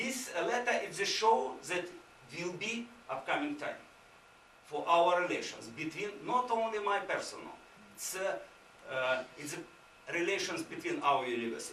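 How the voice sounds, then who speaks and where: With a Ukrainian accent, a man talks at a moderate pace with very wide pitch swings and long, frequent pauses, amid noticeable background noise and audible room echo. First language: Ukrainian or Russian. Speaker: visiting university administrator. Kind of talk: conference presentation. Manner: halting, many fillers.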